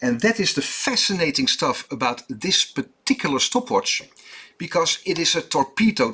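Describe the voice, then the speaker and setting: A man speaks at a fairly slow pace in a Dutch accent. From Netherlands. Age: 50s. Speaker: watchmaker. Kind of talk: tutorial. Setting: workshop. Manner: halting, many fillers.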